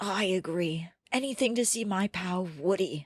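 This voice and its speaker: A raspy, female-sounding voice does a put-on character voice at a middle pitch and a moderate pace. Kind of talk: comic old-man voice. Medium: actual play. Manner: doddering, fussy, old-fashioned.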